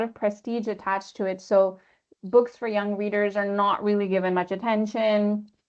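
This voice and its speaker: Speaking at a fairly quick pace, a woman with an American accent uses a normal speaking voice at a medium pitch. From Pakistan. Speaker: literary translator. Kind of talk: webinar panel discussion. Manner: casual, many fillers.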